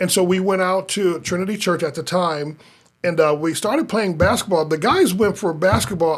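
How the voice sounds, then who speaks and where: A man with an American accent speaks in a high voice, his pitch moving in an ordinary way. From US Midwest, North Omaha, Nebraska. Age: 50s. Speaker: pastor. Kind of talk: casual chat. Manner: halting, many repetitions and restarts.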